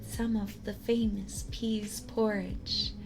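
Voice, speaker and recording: A soft-spoken woman, gentle in tone, at a very slow pace with music in the background. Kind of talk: ASMR story reading, soft-spoken. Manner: soft-spoken, slow, gentle.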